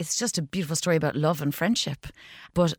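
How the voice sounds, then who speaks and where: A woman with a Cork accent speaks at a fairly low pitch in a very clean recording with a silent background and a dry, close sound with no echo. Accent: Cork Irish. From Ireland, County Cork. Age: 40s. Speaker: actor and comedian. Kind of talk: casual interview.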